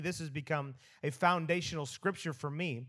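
With a normal speaking voice, a man talks at a moderate pace in a fairly high pitch with ordinary variation, captured in a very clean recording over a silent background. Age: 40s. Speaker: pastor. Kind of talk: sermon.

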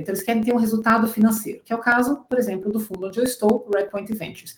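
A somewhat breathy woman's voice, fairly high in pitch. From Brazil, Curitiba. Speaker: venture capital investor. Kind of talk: interview, explanatory.

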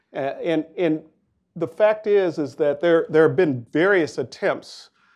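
A man with an unremarkable speaking voice talks fairly slowly, with ordinary pitch variation, over a quiet background. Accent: American. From Minnesota, Minneapolis. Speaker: nonprofit CEO. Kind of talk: panel discussion.

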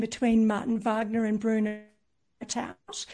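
A woman's fairly high voice with a dark, mellow tone at a moderate pace. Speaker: architecture researcher, author. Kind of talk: interview answers, academic discussion.

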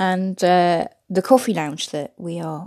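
A woman's fairly low voice, slightly mellow in tone, with fairly even intonation on a very clean recording with a silent background

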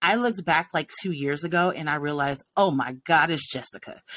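A woman with an American accent and ordinary pitch variation. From Los Angeles, California. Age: 40s. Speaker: podcast co-host and music teacher. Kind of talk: casual chat.

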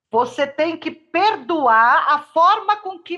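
A woman speaks at an extremely high pitch, with a bright, sharp tone and a raised, projected voice. Her pace is very slow. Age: 60s. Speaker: therapist and behavioral researcher. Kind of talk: casual chat.

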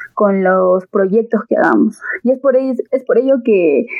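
A woman with an ordinary speaking voice talks at medium pitch with fairly even intonation. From Peru, Andahuaylas, Apurímac (Andean highlands). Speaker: agricultural engineering student. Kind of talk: podcast interview.

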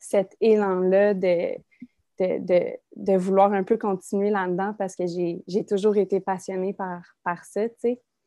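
In a Quebec accent, a woman speaks very slowly at medium pitch, her tone dark and mellow and her intonation monotone and flat. The sound is dry and close with no echo, over a quiet background. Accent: Québécois French. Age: 20s. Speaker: young mother, former daycare educator. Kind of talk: casual interview chat.

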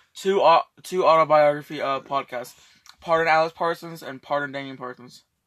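Loudness swings widely at a moderate pace. The intonation stays fairly even, and the sound is dry and close with no echo. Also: man, fairly high pitch for a man. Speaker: amateur podcast co-host. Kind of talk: casual chat. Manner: puts on a fake British accent.

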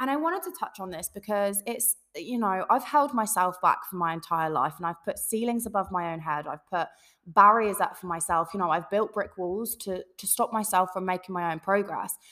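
With an English accent, a woman speaks at a moderate pace and a medium pitch, using ordinary pitch variation, hardly any pauses and big swings in loudness. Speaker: podcast host. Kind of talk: casual solo talk to listeners. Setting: home recording, echoey room. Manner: animated.

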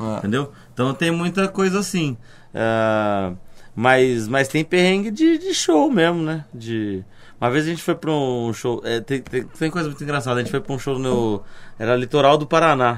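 Lively in intonation, a man at a fairly high pitch speaks in a plain, everyday voice at a moderate pace on a very clean recording with a silent background. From interior of São Paulo state, Brazil. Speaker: comedian. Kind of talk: casual chat.

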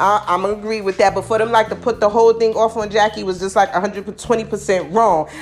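With hardly any pauses, a woman of medium pitch speaks in an animated tone against noticeable background noise. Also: moderate pace. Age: 40s. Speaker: podcast host. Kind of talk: casual monologue.

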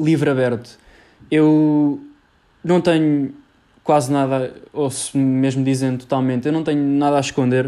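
With a Lisbon accent, a man speaks at a moderate pace. His tone is dark and mellow, and his intonation fairly even. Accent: European Portuguese, Lisbon. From Portugal, Lisbon area (Cascais). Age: young. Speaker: university student podcaster. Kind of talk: solo podcast monologue. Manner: casual, halting with fillers.

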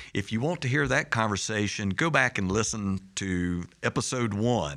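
A man talks at a fairly slow pace in a bright, sharp tone. The recording is very clean, with a silent background. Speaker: podcast host. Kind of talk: casual interview chat.

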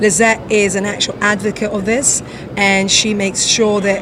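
Noticeable background noise under a woman's fairly high-pitched voice. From London, England. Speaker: diving instructor. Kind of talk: interview. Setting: trade show floor.

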